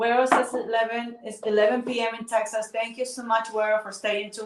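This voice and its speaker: A woman with a Spanish accent, fairly high in pitch, at a very fast pace. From Ecuador. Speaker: water health promoter. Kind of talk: livestream chat.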